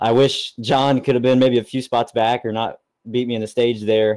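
Speaking at a moderate pace and medium pitch, a man has a dark, mellow tone and monotone, flat intonation. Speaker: race winner interviewed. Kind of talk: post-race interview.

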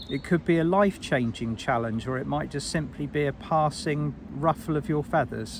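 An ordinary speaking voice from a man, fairly high in pitch, at a moderate pace with hardly any pauses and ordinary pitch variation. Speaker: spiritual guide and meditation teacher. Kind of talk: guided meditation. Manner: warm, intimate, encouraging.

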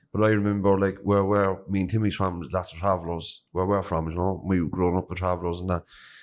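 A man with a Cork accent rattles along at a very fast pace in a very deep, low voice with monotone, flat intonation. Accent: Cork Irish. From Cork, Ireland (north side); Ireland. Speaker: podcast host. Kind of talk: interview. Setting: prison. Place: classroom. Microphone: handheld.

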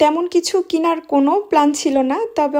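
A woman speaks in a dark, mellow tone with ordinary pitch variation, recorded very cleanly against a silent background. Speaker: vlogger. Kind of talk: vlog narration.

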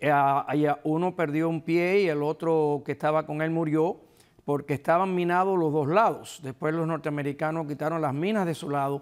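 A man talks with a Cuban accent over a quiet background. His intonation is fairly even. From eastern Cuba (Guantánamo, Holguín). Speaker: retired police officer and book co-author; guest. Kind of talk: interview; interview answer. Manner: halting, repeats words. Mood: reflective, recounting exile. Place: studio. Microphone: lapel.

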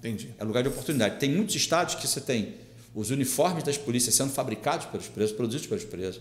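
Speaking at a very fast pace with lively intonation, a man with a medium pitch is heard amid audible room echo. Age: 50s. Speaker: police chief and political candidate; podcast guest. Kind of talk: interview. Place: studio.

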